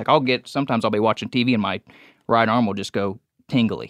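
The sound is dry and close with no echo. A man speaks at a fairly quick pace and medium pitch, with ordinary pitch variation. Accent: American. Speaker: deer hunter. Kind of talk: casual chat. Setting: studio.

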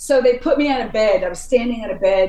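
Over noticeable background noise, a woman with an American accent speaks at a moderate pace in an animated tone. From upstate New York. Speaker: heavy metal vocalist. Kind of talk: casual interview.

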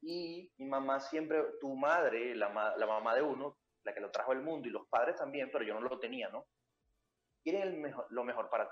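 Ordinary pitch variation and a moderate pace from a man with a normal speaking voice and a fairly high pitch. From Venezuela. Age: 20s. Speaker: reading coach and entrepreneur. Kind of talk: interview.

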